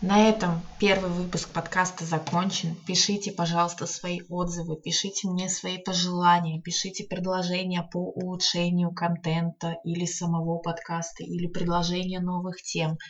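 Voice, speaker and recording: A woman speaks at a moderate pace in a fairly low voice. Her intonation is flat and monotone, with noticeable background noise. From Saint Petersburg, Russia. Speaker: podcast host, book blogger. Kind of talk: casual solo monologue. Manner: hesitant with filler words.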